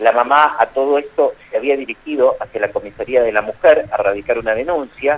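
With a Rioplatense accent, a man talks at a fairly quick pace with hardly any pauses. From Argentina, Baradero. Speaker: journalist. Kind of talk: phone interview. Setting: phone call. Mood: serious, measured. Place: studio.

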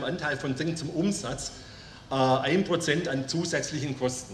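With audible room echo and light background noise, a fairly high-pitched man speaks at a fairly slow pace with fairly even intonation. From Germany. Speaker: company owner. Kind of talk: formal speech. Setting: company jubilee event with audience. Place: tent. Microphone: podium.

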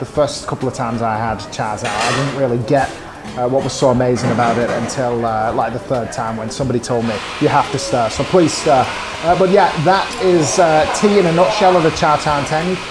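A man speaks at a fairly quick pace. Loud noise fills the background. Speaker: food vlog host. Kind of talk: casual vlog chat. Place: cafe. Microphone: lapel.

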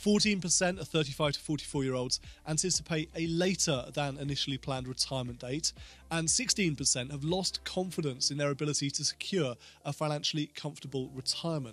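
Faint music plays in the background as a man speaks at a moderate pace with ordinary pitch variation, in a dry sound with no echo. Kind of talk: explainer talk to camera. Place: home room. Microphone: studio mic.

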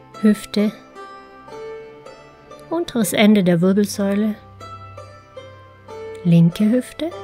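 Against music in the background, a woman with a calm tone and medium pitch uses lively intonation at a very slow pace, leaving long, frequent pauses. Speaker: meditation guide. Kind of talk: guided relaxation meditation. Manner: slow, calm.

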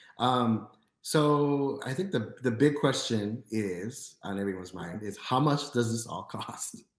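Against a quiet background with audible room echo, a man with an American accent talks at a fairly slow pace, with ordinary pitch variation. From US Midwest, Chicago. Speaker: podcast host. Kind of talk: casual interview. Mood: friendly, smiling. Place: home room.

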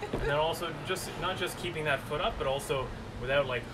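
Loud background noise sits behind a man talking. He keeps a fairly quick pace with ordinary pitch variation. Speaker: fitness coach. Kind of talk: workout instruction. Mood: relaxed, light joking. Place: garden. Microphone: camera far.

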